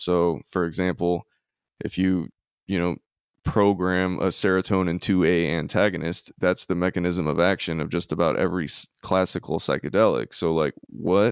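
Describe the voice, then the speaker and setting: Dry and close with no echo, a man with a very deep, low pitch speaks at a moderate pace and fairly even intonation. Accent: Louisiana. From US South, Louisiana. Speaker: musician. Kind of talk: casual chat.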